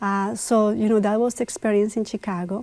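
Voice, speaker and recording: Over a silent background in a very clean recording, a woman talks at a medium pitch. Her tone is dark and mellow, her intonation monotone and flat. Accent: Spanish. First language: Spanish. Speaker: immigrant community figure. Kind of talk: TV interview.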